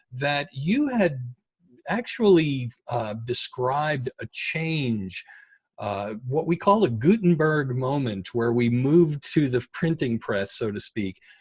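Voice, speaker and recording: Very slow speech, somewhat breathy, carries lively intonation. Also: man, fairly high pitch for a man. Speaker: podcast host. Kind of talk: podcast interview host talk.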